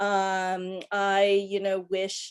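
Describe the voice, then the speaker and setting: In a very clean recording with a silent background, a woman speaks in a medium-pitched voice with an American accent. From US, northern Virginia (Fairfax County). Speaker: panelist. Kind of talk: panel discussion. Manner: halting, many fillers.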